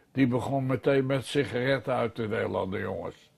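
A man speaks with fairly even intonation over a quiet background. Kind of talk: interview answer. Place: home room.

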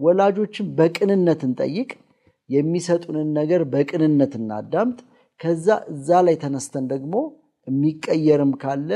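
Over a quiet background, a man with a fairly high pitch and a dark, mellow tone speaks with ordinary pitch variation. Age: 40s. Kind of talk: religious family teaching talk. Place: studio. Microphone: lapel.

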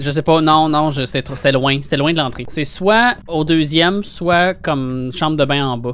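In a Quebec accent, the speaker goes at a very slow pace with hardly any pauses and ordinary pitch variation. The sound is dry, with no echo. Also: man, fairly high pitch for a man. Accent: Québécois French. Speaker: gaming streamer. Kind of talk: casual gameplay chat. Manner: animated. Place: home room. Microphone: studio mic.

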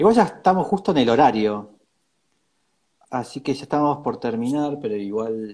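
In a Rioplatense accent, a man speaks at a medium pitch and moderate pace, his pitch swinging very widely and his loudness rising and falling sharply, with long, frequent pauses against a quiet background. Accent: Argentine Rioplatense Spanish. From Argentina. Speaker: interview host. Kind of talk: casual interview. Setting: live video stream. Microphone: earbuds.

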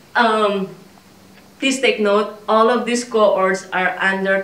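Audible room echo surrounds a woman who speaks at a very slow pace. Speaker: fashion vlogger. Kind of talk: try-on haul. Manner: animated, laughs often. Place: home room. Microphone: camera far.

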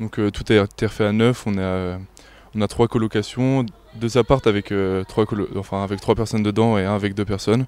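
A man's fairly low voice, fairly quick and flat in a monotone, with a dry sound and no echo. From France, Sarthe (Sablé); France. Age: young. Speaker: young handball player; interviewee. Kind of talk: sports interview; interview answer. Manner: halting. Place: stadium. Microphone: handheld.

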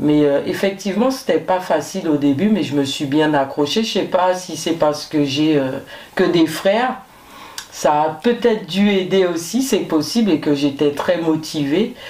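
A woman's fairly low-pitched voice with lively intonation, at a fairly slow pace, in a room with audible echo. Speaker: firefighter; guest. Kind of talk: interview. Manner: hesitant, many fillers. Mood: calm, reflective. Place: studio.

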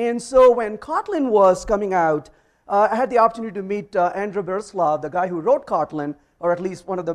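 A man talks very fast in a high voice with lively intonation. The background stays quiet. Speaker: conference speaker. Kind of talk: tech talk to audience. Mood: warm, humorous. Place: meeting room.

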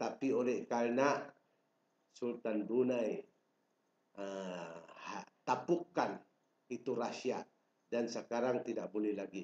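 Very slow speech from a man at medium pitch, with ordinary pitch variation, long, frequent pauses and audible room echo. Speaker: self-proclaimed royal claimant. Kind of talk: political proclamation. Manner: formal. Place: home room. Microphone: webcam.

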